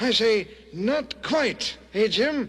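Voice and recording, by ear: Against light background noise, a man puts on a cartoonish character voice at an extremely high pitch with ordinary pitch variation.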